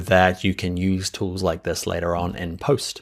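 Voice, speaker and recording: An enthusiastic man with a New Zealand accent comes through in a very clean recording with a silent background. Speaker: software instructor. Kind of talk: tutorial. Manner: casual, enthusiastic.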